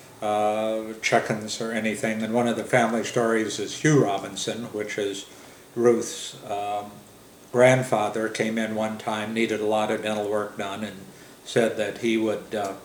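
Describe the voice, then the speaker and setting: A man with an American accent talks in a flat monotone at a fairly low pitch, with audible room echo and noticeable background noise. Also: fairly slow pace. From US Midwest. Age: 70s. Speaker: family elder telling oral history. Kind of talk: oral history interview. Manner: halting, many fillers.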